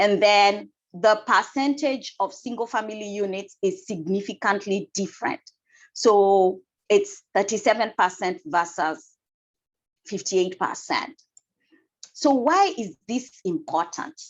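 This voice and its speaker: Over a quiet background, a woman with a Kenyan accent speaks at a fairly slow pace and medium pitch with lively intonation. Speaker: energy efficiency council member and housing asset manager. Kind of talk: presentation talk.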